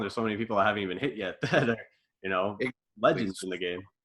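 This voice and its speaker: A man with a fairly low pitch and a bright, sharp tone speaks over a quiet background. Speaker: sports podcast host. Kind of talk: podcast interview questions. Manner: casual.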